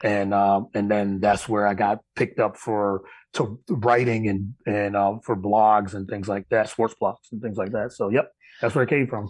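A man with an American accent talks at a moderate pace in a fairly low pitch with fairly even intonation, against a quiet background. It is a plain, everyday voice. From upstate New York. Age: 40s. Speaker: sports podcast host. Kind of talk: interview.

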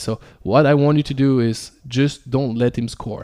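Captured in a very clean recording with a silent background, a man speaks at medium pitch with fairly even intonation and a dark, mellow tone. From Belgium, Ardennes. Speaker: basketball coach. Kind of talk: interview.

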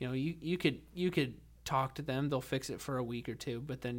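Speaking at a fairly quick pace, a man with a normal speaking voice and medium pitch shows ordinary pitch variation on a very clean recording with a silent background. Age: 20s. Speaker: podcast host and army veteran. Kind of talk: casual chat. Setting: makeshift home studio.

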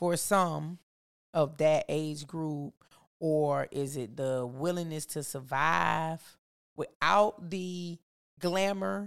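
On a very clean recording with a silent background, a woman with a very deep, low pitch speaks in an animated tone with lively intonation. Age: 40s. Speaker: teacher and podcast guest. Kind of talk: casual chat about faith.

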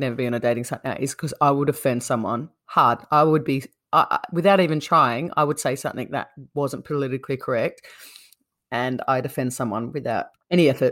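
Speaking very fast, a woman with an Australian accent uses a very deep, low pitch with ordinary pitch variation. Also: very clean recording, silent background. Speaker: podcast co-host, interviewer. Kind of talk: casual chat, interview.

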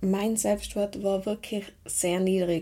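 In a dark, mellow tone with monotone, flat intonation and a slight Tyrolean accent, the speaker comes through on a very clean recording against a silent background. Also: woman. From Tyrol, Austria. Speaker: mental trainer and podcast host. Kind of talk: personal monologue podcast.

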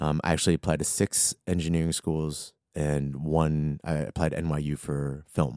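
With an American accent, a man speaks at a very deep, low pitch in a dry, close sound with no echo. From Arlington, Virginia (DC area). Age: 30s. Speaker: freelance marketing strategist. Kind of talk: casual interview chat. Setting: studio.

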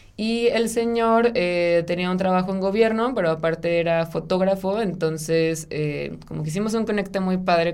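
A woman with a fairly low pitch talks at a moderate pace with hardly any pauses. Her pitch variation is ordinary, and there is noticeable background noise. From Mexico, Sonora (Ciudad Obregón). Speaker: architect. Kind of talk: interview conversation.

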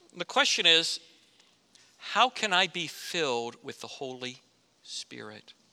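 Speaking at a fairly slow pace with long, frequent pauses, a man with an American accent uses a bright, sharp tone and vocal fry, his fairly high pitch swinging very widely and his loudness rising and falling sharply. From Florida. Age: 50s. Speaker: pastor. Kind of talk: sermon.

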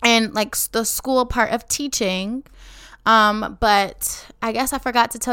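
An animated woman with a Chicago accent at a moderate pace, in a very clean recording with a silent background. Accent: Chicago American English. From Chicago, west side. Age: 20s. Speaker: teacher and podcast host. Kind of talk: casual podcast monologue.

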